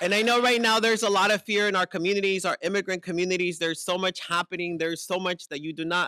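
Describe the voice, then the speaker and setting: A man with a high pitch speaks in a raised, projected voice at a very fast pace, with hardly any pauses. His intonation stays fairly even over noticeable background noise. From Eastside San Jose, California (born in Mexico). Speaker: poet. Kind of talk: spoken word poetry and speech.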